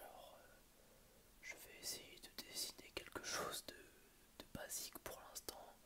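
A man is whispering. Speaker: ASMR creator. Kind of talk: ASMR whispering. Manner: whispered; hesitant, soft-spoken. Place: home room. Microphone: earbuds.

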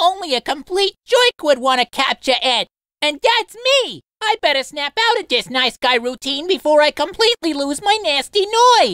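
A man speaks at a moderate pace in a put-on character voice. His pitch is extremely high. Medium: dub. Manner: brash, scheming.

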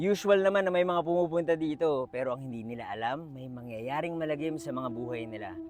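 Against noticeable background noise, a man with fairly high pitch and ordinary pitch variation talks at a fairly quick pace, his loudness swinging widely. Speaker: storytime vlogger. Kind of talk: ghost story telling, on-location true-crime storytime. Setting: outdoors at a park tower. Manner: casual, chatty, Taglish vlogger style.

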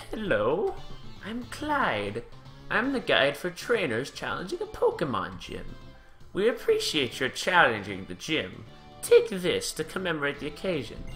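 A put-on character voice moves along at a moderate pace. Clear music plays in the background. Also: man, big swings in loudness.

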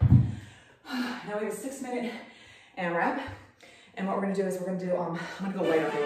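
Noticeable background noise and audible room echo fill this recording. A woman talks at a fairly quick pace. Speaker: fitness instructor. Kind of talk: workout instruction. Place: gym. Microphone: camera far.

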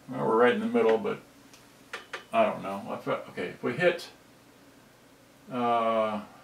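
A man talks at a moderate pace in a fairly low pitch with vocal fry, leaving long, frequent pauses. Audible room echo and faint music in the background are present.

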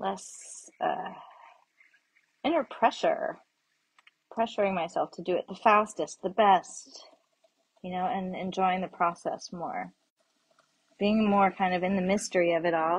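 A woman speaks at a fairly slow pace, her voice somewhat breathy. Her pitch varies in an ordinary way, broken by long, frequent pauses. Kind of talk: casual reflective chat while working. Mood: warm, reflective, laughing. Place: workshop. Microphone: phone near.

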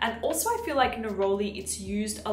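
A woman's voice in a room with audible echo and light background noise. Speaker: beauty YouTuber. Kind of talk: product review vlog. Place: home room.

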